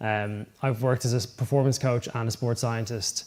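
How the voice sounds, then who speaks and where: An Irish-accented man speaks fairly quickly at a medium pitch, his intonation fairly even. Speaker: sports scientist. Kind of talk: conference talk. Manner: casual, many filler ums.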